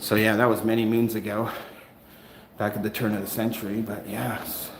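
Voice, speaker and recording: A man speaks with a slight Canadian accent, with audible room echo and noticeable background noise around him. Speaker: first amendment auditor livestreamer. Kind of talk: live stream chat with viewers. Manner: casual, hesitant with many fillers.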